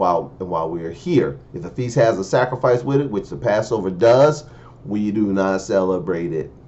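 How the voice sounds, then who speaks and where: The voice has an animated tone and lively intonation. Room echo is audible. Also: man. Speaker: preacher. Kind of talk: sermon.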